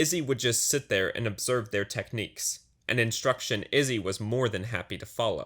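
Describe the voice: The clip is plain reading aloud. Its pitch rises and falls in an ordinary way.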